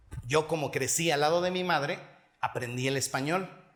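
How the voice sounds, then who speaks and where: Audible room echo hangs around a man whose voice shows ordinary pitch variation. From Mexico, Hidalgo. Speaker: pastor. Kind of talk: sermon.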